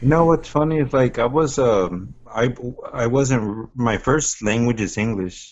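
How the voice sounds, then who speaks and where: A man with a slight Spanish accent speaks at a fairly slow pace. His medium pitch shows ordinary variation. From Texas, Austin. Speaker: stand-up comedian. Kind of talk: casual chat.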